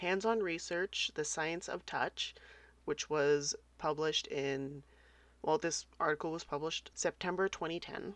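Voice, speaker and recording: In a normal speaking voice, a woman talks with fairly even intonation, the sound dry and close with no echo. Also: fairly low pitch for a woman, fairly slow pace. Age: 30s. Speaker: podcast host. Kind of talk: casual solo podcast talk.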